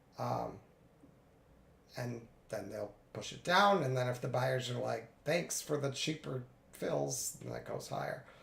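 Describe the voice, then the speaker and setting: A man talks at a fairly slow pace with long, frequent pauses, and audible room echo surrounds his voice. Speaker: day trader streaming live trades. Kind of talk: live trading commentary. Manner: casual, conversational.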